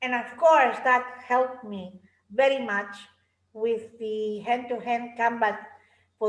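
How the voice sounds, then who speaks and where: A woman's plain, everyday voice, fairly high in pitch, with ordinary pitch variation. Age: 60s. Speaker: martial arts instructor. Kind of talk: interview.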